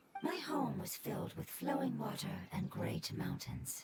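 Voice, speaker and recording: A put-on character voice, delivered in a whisper at a moderate pace. Loud background noise fills the recording. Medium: video game. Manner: polite, measured.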